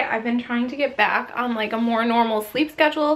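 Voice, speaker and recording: A woman speaks in a high pitch with a bright, sharp tone. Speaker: kindergarten teacher and vlogger. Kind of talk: casual vlog.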